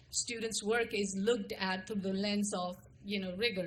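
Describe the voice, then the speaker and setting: At a moderate pace, a woman with an Indian accent speaks at a medium pitch with monotone, flat intonation. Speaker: school administrator. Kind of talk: formal presentation to a board.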